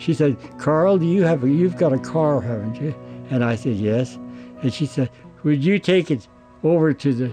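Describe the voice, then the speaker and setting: A man with fairly high pitch speaks at a moderate pace with lively intonation and long, frequent pauses. Music plays clearly in the background. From Oregon. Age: 90s. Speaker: war veteran. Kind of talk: personal storytelling; interview answer, storytelling. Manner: halting. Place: home room.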